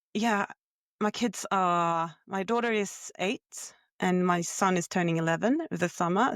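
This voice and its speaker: An unremarkable speaking voice at a moderate pace, with very even loudness and ordinary pitch variation, in a very clean recording with a silent background. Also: woman. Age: 30s. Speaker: podcast co-host. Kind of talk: casual chat.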